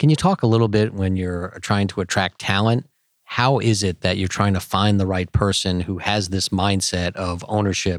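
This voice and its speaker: A man with a normal speaking voice talks at a fairly low pitch and a moderate pace with fairly even intonation. The very clean recording has a silent background and a dry, close sound with no echo. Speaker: corporate executive, co-interviewer. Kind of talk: interview.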